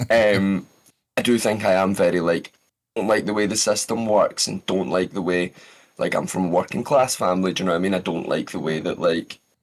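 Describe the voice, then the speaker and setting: Speaking with a Scottish accent, a man talks at a fairly quick pace. His pitch is fairly low and his intonation fairly even. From Scotland. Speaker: voice actor. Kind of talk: podcast interview.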